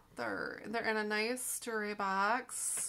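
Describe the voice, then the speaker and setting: A woman with a fairly high voice speaks at a very slow pace over noticeable background noise. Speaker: online reseller. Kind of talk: casual unboxing video. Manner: animated.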